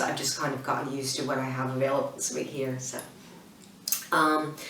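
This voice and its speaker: A woman with an American accent and a very deep, low pitch, fairly quick and monotone, with flat intonation, amid noticeable background noise and audible room echo. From United States. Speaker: interior design blogger. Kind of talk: casual Q&A to camera. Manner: hesitant, many ums and restarts.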